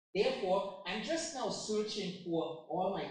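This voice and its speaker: In a room with audible echo, a man talks at a fairly slow pace, his pitch swinging very widely. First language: German. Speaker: software product presenter. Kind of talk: software demo.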